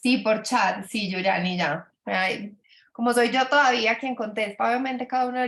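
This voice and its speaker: Fairly even intonation from a female speaker. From Colombia, Antioquia (paisa). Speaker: business mentor for doctors. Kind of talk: webinar presentation. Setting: video call. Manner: hesitant, many fillers and repetitions.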